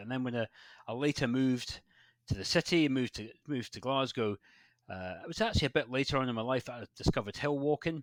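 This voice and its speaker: In a Scottish accent, a man talks at a very fast pace with a medium pitch and lively intonation, recorded very cleanly against a silent background with a dry, close sound and no echo. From Scotland, West Highlands. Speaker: landscape photographer. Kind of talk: podcast interview. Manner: halting, many repeats and fillers.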